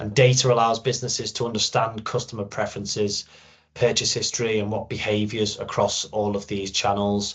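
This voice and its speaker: A man with a Liverpool accent talks at a fairly quick pace, his voice somewhat breathy. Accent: Liverpool (Scouse). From Liverpool, northwest England. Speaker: sales channel manager, product data expert. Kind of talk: webinar presentation. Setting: recorded webinar.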